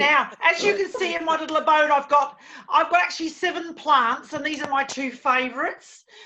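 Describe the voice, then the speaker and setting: Raising and projecting her voice, a woman speaks at a high pitch. She moves at a fairly quick pace with ordinary pitch variation. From Australia, Melbourne (born Birmingham, England, moved at nine). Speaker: stand-up comedian. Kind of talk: stand-up.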